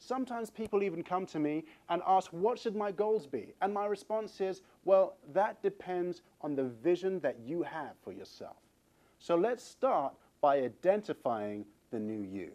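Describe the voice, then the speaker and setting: In a dark, mellow tone, a man talks fairly slowly at a high pitch with lively intonation. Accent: English. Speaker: fitness trainer. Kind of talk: motivational talk.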